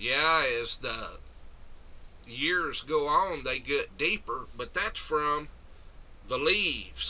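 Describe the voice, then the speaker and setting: A man's very slow delivery. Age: 60s. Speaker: metal detecting hobbyist. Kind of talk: tutorial. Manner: casual, hesitant with many fillers.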